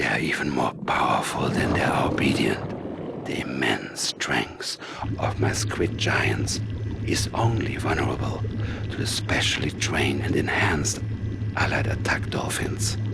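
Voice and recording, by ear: Whispering in a put-on character voice, a man lets vocal fry creep in. He keeps a fairly slow pace.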